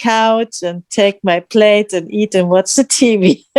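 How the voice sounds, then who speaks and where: In a non-native accent, a woman speaks at a fairly slow pace with ordinary pitch variation. The sound is dry and close with no echo. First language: not English. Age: 50s. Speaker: challenge participant. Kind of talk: group video call sharing. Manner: halting.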